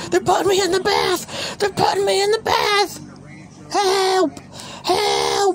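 An extremely high-pitched put-on character voice speaks at a fairly slow pace. Clear background noise is present. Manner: panicked, shouting.

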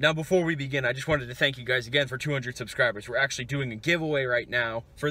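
A man at a very fast pace, bright and sharp in tone, with ordinary pitch variation and a dry sound with no echo. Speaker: food review vlogger. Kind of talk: casual vlog chat. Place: car. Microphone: phone near.

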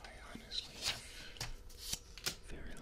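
Soft-spoken whispering moves at a fairly slow pace beneath loud background noise. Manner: soft ASMR whisper. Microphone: studio mic.

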